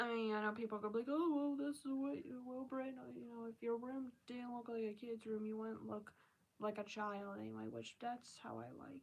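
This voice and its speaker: Over noticeable background noise, a woman talks at a fairly quick pace with a fairly high pitch and fairly even intonation. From Maryland, US. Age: 20s. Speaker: live streamer. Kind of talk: casual live-stream chat.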